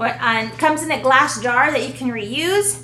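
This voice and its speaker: Moderate-paced speech with noticeable background noise and audible room echo. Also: woman. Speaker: home video vlogger, mother. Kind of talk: casual unboxing chat.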